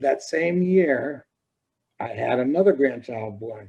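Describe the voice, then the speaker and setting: The man has a dark, mellow tone. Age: 70s. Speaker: children's book author. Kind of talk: casual chat.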